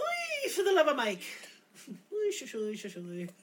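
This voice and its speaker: A put-on character voice with a high pitch. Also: moderate pace. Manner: yelling with held-back resistance.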